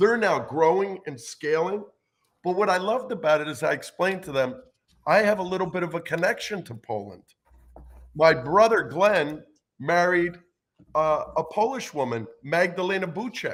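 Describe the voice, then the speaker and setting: A man with an American accent talks at a moderate pace and a high pitch. His intonation is lively, broken by long, frequent pauses. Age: 60s. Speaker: gaming industry lawyer. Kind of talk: interview.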